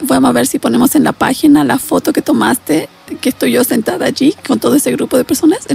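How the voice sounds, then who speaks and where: A woman talks at a very fast pace with very even loudness. The sound is dry and close, with no echo, over noticeable background noise. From Latin America. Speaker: psychologist or therapist. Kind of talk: guided meditation; interview.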